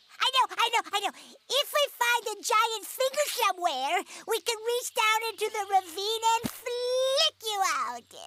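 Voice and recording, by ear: A cartoonish character voice at an extremely high pitch speaks at a moderate pace.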